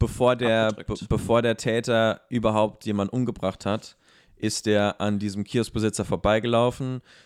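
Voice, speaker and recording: Monotone, flat intonation at a moderate pace, dry and close with no echo, on a very clean recording with a silent background. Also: man, medium pitch for a man. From abroad, immigrant to Germany. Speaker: podcast co-host. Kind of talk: casual discussion. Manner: hesitant, many fillers.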